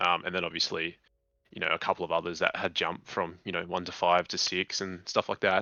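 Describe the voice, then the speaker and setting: With an Australian accent, a man speaks in a very deep, low, monotone voice at a fairly quick pace. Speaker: online game player. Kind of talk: casual chat.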